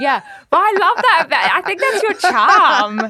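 A woman's raised, projected voice with very wide pitch swings. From New Zealand. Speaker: podcast host.

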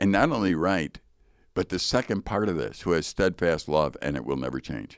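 Very deep and low with vocal fry, a man's voice moves at a moderate pace with lively intonation. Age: 60s. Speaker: Bible teacher and podcast co-host. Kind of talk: casual chat about Bible passage. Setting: studio.

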